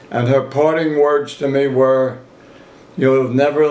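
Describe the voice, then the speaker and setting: Amid noticeable background noise and audible room echo, a man talks in a fairly high pitch with monotone, flat intonation. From southern Italy. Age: 80s+. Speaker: retired grocer. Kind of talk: family interview storytelling.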